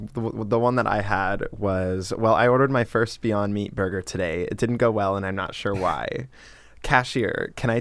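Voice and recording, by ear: A passage read aloud in a natural voice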